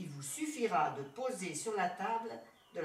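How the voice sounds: Reading done in a natural voice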